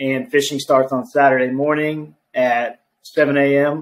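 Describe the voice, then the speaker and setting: A man's voice in a flat monotone. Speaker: remote podcast guest. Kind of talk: interview answer. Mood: relaxed, friendly. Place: home room. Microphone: video call.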